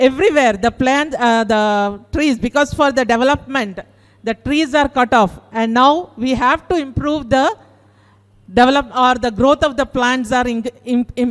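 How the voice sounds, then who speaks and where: A woman's high voice in a South Indian accent, at a fairly slow pace with ordinary pitch variation. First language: Kannada. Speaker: teacher. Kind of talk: participant feedback speech. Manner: halting.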